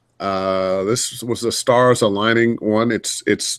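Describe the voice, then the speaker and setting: A man's fairly low voice in a monotone, flat delivery, in a very clean recording with a silent background. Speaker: voice actor. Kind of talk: interview answer.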